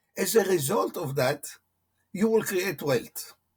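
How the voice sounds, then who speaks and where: Speaking fairly slowly with a non-native accent, a man with a high voice makes very wide pitch swings. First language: not English. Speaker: motivational coach. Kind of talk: interview. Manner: halting.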